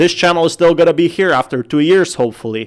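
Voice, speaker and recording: There is music playing behind this man as he talks. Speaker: crypto YouTuber. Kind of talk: commentary on video clips.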